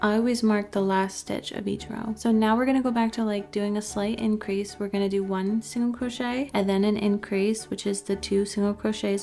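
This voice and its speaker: A woman with an American accent, medium-pitched and flat in intonation, at a moderate pace with hardly any pauses, over noticeable background noise. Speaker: crochet designer and tutorial maker. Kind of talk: tutorial. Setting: empty room during a move. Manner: casual, chatty with frequent 'like'. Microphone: new mic cover, echoey empty room.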